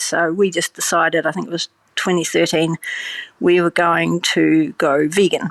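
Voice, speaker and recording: The speaker has a New Zealand accent and fairly even intonation. The sound is dry and close, with no echo. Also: woman. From New Zealand, small town. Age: 60s. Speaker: vegan cheese producer, former scientist. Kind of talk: interview. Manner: casual, many fillers.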